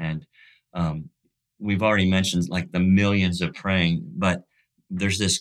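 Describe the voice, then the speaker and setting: A man's very deep, low voice at a fairly quick pace, in a monotone, flat delivery. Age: 60s. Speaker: pastor and missions leader. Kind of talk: casual interview chat. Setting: remote call.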